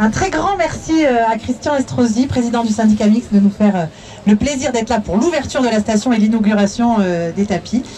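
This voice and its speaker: A woman's fairly high voice moves at a fairly quick pace with lively intonation over noticeable background noise. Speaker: mayor. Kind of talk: public speech. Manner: loud.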